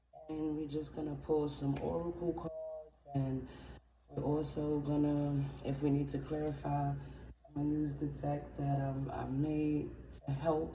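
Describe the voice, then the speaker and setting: The recording carries audible room echo and noticeable background noise. Through it, a woman talks fairly slowly. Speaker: tarot reader. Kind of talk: tarot reading. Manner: trying to speak louder.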